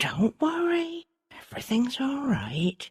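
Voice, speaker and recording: A woman speaks in a soft-spoken voice. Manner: soft, reassuring.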